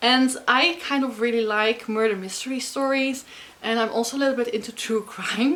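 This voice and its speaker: With a Dutch accent and an animated tone, a woman speaks at a high pitch with ordinary variation and a moderate pace over noticeable background noise. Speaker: book vlogger. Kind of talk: casual vlog talk to camera.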